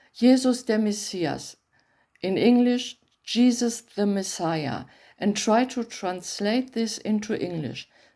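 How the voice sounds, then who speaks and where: This voice has a dark, mellow tone and a German accent, moving at a fairly slow pace with ordinary pitch variation. The recording is very clean, with a silent background. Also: woman. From Germany. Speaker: bible translator. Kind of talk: reading aloud; talk to camera.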